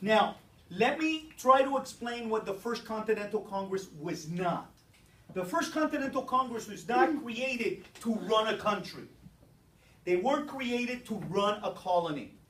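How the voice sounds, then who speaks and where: With audible room echo around him, a man in a high voice talks at a moderate pace, animated in tone and lively in intonation. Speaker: teacher. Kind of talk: classroom lecture. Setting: classroom with students.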